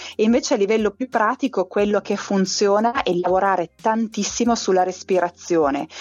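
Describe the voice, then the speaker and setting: At a fairly quick pace and with hardly any pauses, a woman talks at a medium pitch with ordinary pitch variation and very even loudness. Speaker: emotional kinesiologist and author. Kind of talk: interview. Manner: smiling voice.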